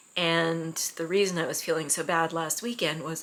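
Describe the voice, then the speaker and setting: Noticeable background noise sits behind a woman speaking fairly slowly at a fairly low pitch with ordinary variation. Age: 60s. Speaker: miniatures hobbyist vlogger. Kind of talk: casual chat. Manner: hesitant, many fillers.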